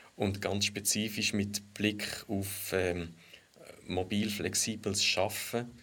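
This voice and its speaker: Speaking at a very slow pace in a slight Lucerne accent, a man with a fairly low pitch keeps a monotone, flat intonation and very even loudness. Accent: Lucerne Swiss German dialect, slight. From Switzerland, Lucerne. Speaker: economic geographer. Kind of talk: casual discussion.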